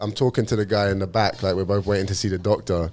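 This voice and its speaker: Very fast delivery from a male speaker. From England, London (Cockney family). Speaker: professional MMA fighter. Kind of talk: casual chat.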